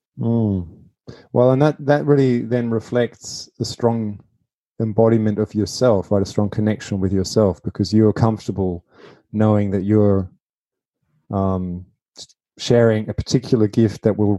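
With an Australian accent, a man speaks at fairly low pitch in a dark, mellow tone. The background is quiet. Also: dry, close sound with no echo. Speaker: podcast host. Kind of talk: interview. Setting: remote call.

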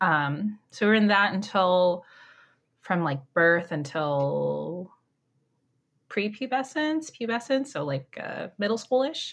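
Speaking very slowly with a Californian accent, a woman uses a medium pitch that swings very widely. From Orange County, California. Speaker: writer and mom discussing faith. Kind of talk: podcast interview.

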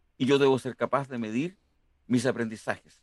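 The man talks at a moderate pace in a dry, close sound with no echo. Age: 60s. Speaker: engineering professor. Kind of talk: interview.

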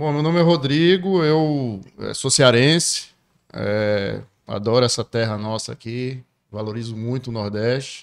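Speaking at a fairly slow pace, a man has an unremarkable speaking voice with a medium pitch and ordinary pitch variation. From Ceará, Brazil. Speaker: entrepreneur. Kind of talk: casual interview chat.

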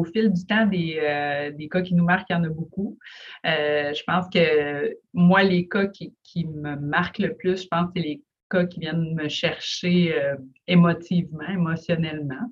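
A woman speaks at a very slow pace and a fairly low pitch, with ordinary pitch variation. Her loudness swings widely. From Quebec, Lac-Saint-Jean. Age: 30s. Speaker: family physician. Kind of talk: interview.

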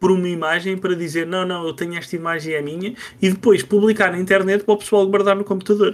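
On a very clean recording with a silent background, a man with a high voice talks fairly quickly with fairly even intonation. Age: 30s. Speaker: podcast host, video game reviewer. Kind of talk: casual chat.

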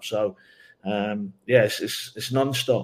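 A man with an English accent at a moderate pace. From England. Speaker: soccer assistant coach. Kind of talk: interview.

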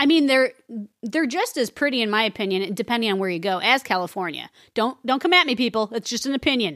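Lively intonation in an American accent at a very fast pace. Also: woman, fairly high pitch for a woman. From Chicago. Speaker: podcast host. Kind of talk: casual chat, true-crime style podcast banter.

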